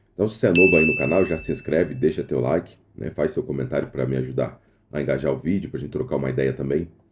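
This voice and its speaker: With a very deep, low pitch and vocal fry, a man races along at a very fast pace with lively intonation. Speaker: day trader youtuber. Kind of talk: casual trading vlog. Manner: quieter than usual.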